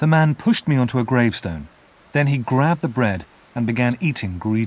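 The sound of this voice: The pitch varies in an ordinary way. The reading voice is unforced.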